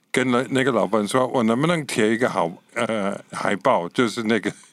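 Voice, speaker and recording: A man with an English accent speaks at a fairly slow pace, his medium-pitched voice showing ordinary pitch variation, on a very clean recording with a silent background. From Scotland. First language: English (speaking Chinese). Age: 80s+. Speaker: pastor and missionary. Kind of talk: interview testimony.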